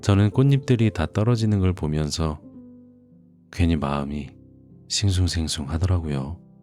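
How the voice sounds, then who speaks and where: With music in the background, a man speaks very slowly in a very deep, low voice, calm in tone yet lively in intonation. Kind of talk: casual spoken intro to listeners. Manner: soft, calm.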